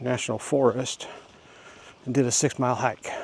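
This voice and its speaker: There is noticeable background noise. The speech moves at a moderate pace. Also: man. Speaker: vlogger. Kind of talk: casual walking vlog monologue. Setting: outdoors on a walking trail.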